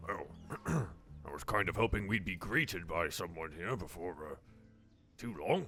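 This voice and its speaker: A man's put-on character voice, very deep and raspy, at a moderate pace with long, frequent pauses over background music. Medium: actual play. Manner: gruff, commanding.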